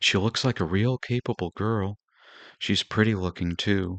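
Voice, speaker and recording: Soft-spoken, strained put-on character voice from a man, fairly low in pitch, at a moderate pace with fairly even intonation. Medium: read story. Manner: soft, mild, restrained.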